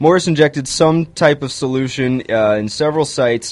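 A man with a normal speaking voice talks at a moderate pace, his fairly high pitch carrying ordinary pitch variation. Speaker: radio co-host. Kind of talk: casual chat. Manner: jokey.

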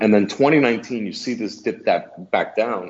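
An unremarkable speaking voice from a man, fairly low in pitch. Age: 30s. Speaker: cigar company executive. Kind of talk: casual chat.

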